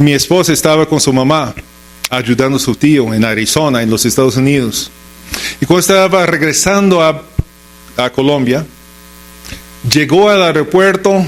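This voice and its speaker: In a strong English-speaker accent, a voice moves at a moderate pace with ordinary pitch variation, very even loudness and long, frequent pauses over noticeable background noise. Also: man, fairly high pitch for a man. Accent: heavy English-speaker accent in Spanish. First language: English (speaking Spanish). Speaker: pastor. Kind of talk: sermon.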